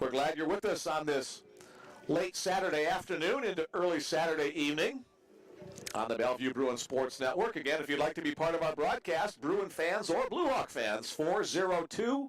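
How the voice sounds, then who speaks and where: With music in the background, the speaker uses lively intonation at a moderate pace and very even loudness. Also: man, fairly high pitch for a man. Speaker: baseball play-by-play announcer. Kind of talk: live sports commentary.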